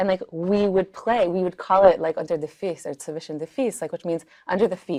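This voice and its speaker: Speaking at a fairly quick pace with a New York accent, a woman uses a medium pitch and ordinary pitch variation over a quiet background. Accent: New York American English. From Crown Heights, Brooklyn, New York. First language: Yiddish. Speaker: singer and nigun circle facilitator. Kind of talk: casual interview conversation. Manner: conversational with many fillers.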